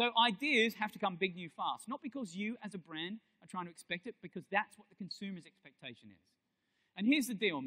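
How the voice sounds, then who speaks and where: Animated in tone, a man talks at a high pitch and fairly quick pace with lively intonation. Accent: Australian. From Australia. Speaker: keynote speaker, digital industry futurist. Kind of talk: keynote talk.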